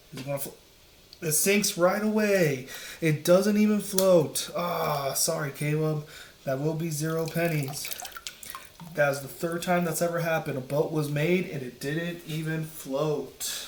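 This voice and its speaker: A soft-spoken delivery at a fairly slow pace, with noticeable background noise. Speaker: teacher. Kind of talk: casual video commentary.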